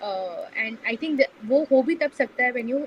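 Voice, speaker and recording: Noticeable background noise sits behind a woman's high voice. She speaks at a moderate pace with ordinary pitch variation. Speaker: community founder. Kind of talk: podcast interview. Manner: soft-spoken; hesitant, many fillers.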